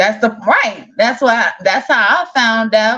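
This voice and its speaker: Her bright, sharp tone and lively intonation come through as a woman speaks in a Southern US accent. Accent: country southern. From Chicago, south side, raised by southern-rooted grandparents. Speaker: online talk show host. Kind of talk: casual interview chat.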